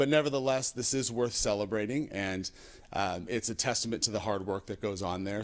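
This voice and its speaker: Speaking very fast, a man with a fairly low pitch comes through in a very clean recording with a silent background. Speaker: school administrator. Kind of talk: presentation at a school board meeting. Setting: hybrid public board meeting. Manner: halting, with frequent self-corrections.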